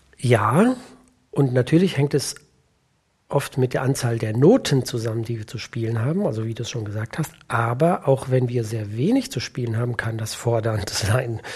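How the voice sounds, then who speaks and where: At a moderate pace, a man of medium pitch speaks somewhat breathily with ordinary pitch variation. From Germany, Siegerland. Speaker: orchestra percussionist and timpanist. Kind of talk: casual interview chat.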